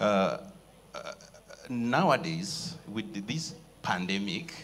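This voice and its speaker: Noticeable background noise and audible room echo surround a man with a Rwandan accent, who speaks at a medium pitch and a very slow pace with very wide pitch swings. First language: Kinyarwanda. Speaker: writer and lecturer. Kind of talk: panel discussion. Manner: halting.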